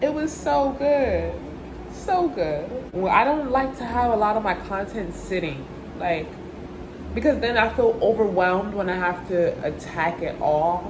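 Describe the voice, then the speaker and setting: Pitch swinging very widely, the speaker talks fairly slowly in an animated tone amid audible room echo and noticeable background noise. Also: woman, fairly high pitch for a woman. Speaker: vlogger. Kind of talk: casual vlog talk. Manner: occasional stutter.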